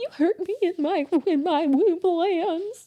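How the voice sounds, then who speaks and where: A put-on character voice that sounds female, pitched extremely high, tearful and shaky, going at a fairly slow pace. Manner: wounded, tearful.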